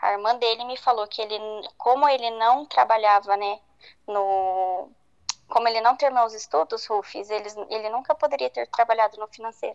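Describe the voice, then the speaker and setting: A woman speaks at a moderate pace in an ordinary speaking voice, fairly high in pitch, with ordinary pitch variation. The sound is dry and close, with no echo. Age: 20s. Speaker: guest sharing a personal story. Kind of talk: testimony.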